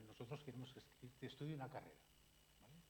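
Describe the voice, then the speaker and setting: There is audible room echo around a man as he talks. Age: 60s. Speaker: psychiatrist. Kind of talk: public lecture. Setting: library talk with audience. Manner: animated.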